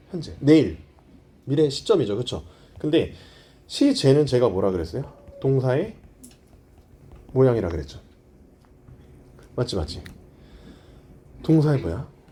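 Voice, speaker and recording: A man's dark, mellow voice with vocal fry moves through very wide pitch swings, broken by long, frequent pauses, in a room with audible echo. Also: medium pitch for a man, moderate pace. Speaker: English grammar lecturer. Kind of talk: lecture. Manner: calm, soothing.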